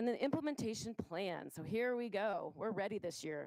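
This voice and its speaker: A woman's voice has lively intonation and a dry, close sound with no echo. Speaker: school district administrator. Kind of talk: presentation to school board. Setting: board meeting. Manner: fast.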